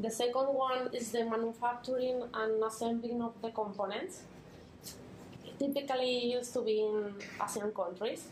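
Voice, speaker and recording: A woman with a Spanish accent speaks at a moderate pace in a fairly high pitch with fairly even intonation, amid noticeable background noise and audible room echo. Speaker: NGO volunteer presenter. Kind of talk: conference talk. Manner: halting.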